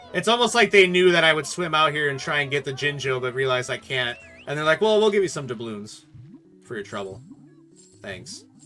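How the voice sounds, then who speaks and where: A man speaks in a fairly high pitch with very wide pitch swings. Music plays in the background. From US Midwest. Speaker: video game let's player. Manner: casual, joking commentary.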